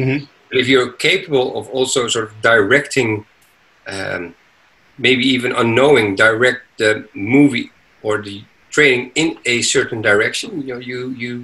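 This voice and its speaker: Long, frequent pauses break up a man's moderate pace, and his loudness swings widely. His tone is bright and sharp, his intonation fairly even. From Netherlands, raised abroad. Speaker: entrepreneur; podcast guest. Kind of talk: interview. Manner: halting. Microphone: video call.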